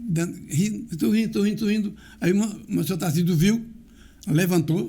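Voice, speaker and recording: A man with a high pitch and a dark, mellow tone speaks at a moderate pace with ordinary pitch variation and very even loudness. Audible room echo surrounds the recording. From Brazil, Garanhuns, Pernambuco (Northeast). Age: 80s+. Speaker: local community elder and author. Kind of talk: interview, life story telling.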